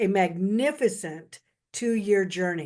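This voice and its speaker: A woman speaks in an unremarkable speaking voice, pitched in the medium range, with fairly even intonation. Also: quiet background. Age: 60s. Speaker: beauty consultant, guest speaker. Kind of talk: casual talk on video call. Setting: video call.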